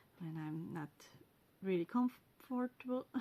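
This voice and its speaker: In a Swiss German accent, a woman speaks at a fairly slow pace with a medium pitch, ordinary pitch variation, a somewhat breathy quality, and a dark, mellow tone. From Switzerland (German-speaking). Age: 40s. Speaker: podcast host, knitter and spinner. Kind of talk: casual monologue. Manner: halting, many fillers and pauses.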